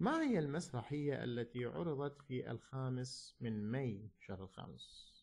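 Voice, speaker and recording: This man, with an Iraqi accent, speaks at a fairly slow pace with hardly any pauses. His voice sits at a medium pitch, somewhat breathy, with ordinary pitch variation. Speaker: English teacher. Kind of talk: lecture.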